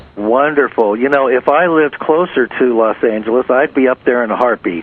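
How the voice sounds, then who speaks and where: A man speaks at a fairly quick clip and a medium pitch. His loudness stays very even over noticeable background noise. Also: ordinary pitch variation. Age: 60s. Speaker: radio host. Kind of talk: interview. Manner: halting.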